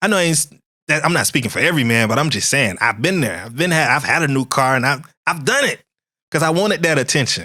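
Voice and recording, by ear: In a very clean recording with a silent background, a man with a bright, sharp tone and medium pitch speaks at a fast pace with lively intonation.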